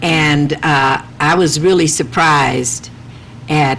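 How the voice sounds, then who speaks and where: Against noticeable background noise, a woman with a very deep, low pitch speaks with fairly even intonation. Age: 70s. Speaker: TV talk show host. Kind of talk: talk show conversation; reading own poem aloud.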